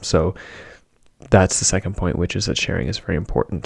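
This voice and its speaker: The voice is soft-spoken and calm in tone, with vocal fry. The sound is dry and close, with no echo. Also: man. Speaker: podcast host. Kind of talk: casual talk to camera. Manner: soft-spoken, calm.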